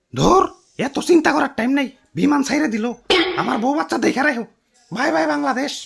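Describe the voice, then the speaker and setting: A cartoonish character voice, pitched fairly high, moves at a moderate pace with very wide pitch swings. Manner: fast, fussy, self-important.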